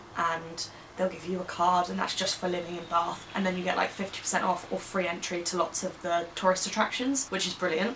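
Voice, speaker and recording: Very fast speech from a woman at a medium pitch amid noticeable background noise. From England. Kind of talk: casual talk to camera. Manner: chatty, upbeat.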